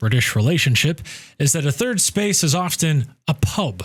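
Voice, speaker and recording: A man with an American accent speaks at a moderate pace, somewhat breathy, with lively intonation. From United States. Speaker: expat vlogger. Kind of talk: casual talk to camera.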